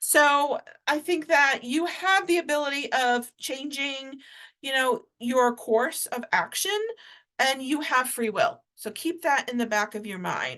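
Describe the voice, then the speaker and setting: Against a quiet background, a woman with an American accent projects a raised, high-pitched voice with a bright, sharp tone. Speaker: tarot reader. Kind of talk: tarot energy reading. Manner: casual, hesitant with frequent fillers.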